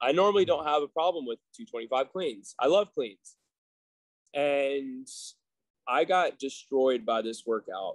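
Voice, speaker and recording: A man's fairly high voice, fairly slow, with lively intonation and long, frequent pauses over a quiet background. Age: 30s. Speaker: gym owner; guest. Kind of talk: casual chat. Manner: halting. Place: gym. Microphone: video call.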